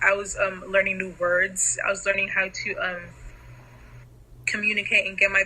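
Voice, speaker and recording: A woman speaks in a flat monotone. Noticeable background noise runs behind her. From Nigeria. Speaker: interviewee for a student project. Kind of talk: casual interview. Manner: hesitant, many fillers.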